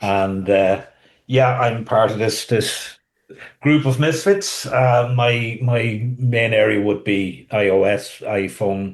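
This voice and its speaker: Speech comes at a very slow pace with fairly even intonation. The speaker has a Cavan accent. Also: man, medium pitch for a man. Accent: Irish, Cavan. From Cavan, Ireland. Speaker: podcast co-host. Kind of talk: casual chat.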